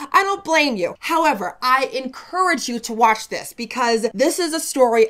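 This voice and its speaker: A woman with an American accent speaks at a high pitch. Her voice moves in very wide pitch swings. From United States. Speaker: history YouTuber. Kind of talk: casual narration of history. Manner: chatty, informal.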